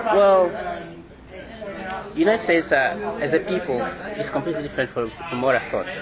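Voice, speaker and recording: Over crowd noise and audible room echo, a man with a high voice talks at a fairly quick pace, his pitch swinging very widely and his speech broken by long, frequent pauses. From Angola, Luanda. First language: Portuguese. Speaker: international student. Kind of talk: interview. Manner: halting.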